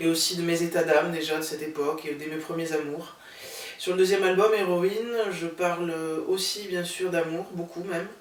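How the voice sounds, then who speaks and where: With noticeable background noise and audible room echo, a woman with a fairly low pitch speaks at a moderate pace with fairly even intonation. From southern France, Toulouse. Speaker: singer-songwriter. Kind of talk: interview.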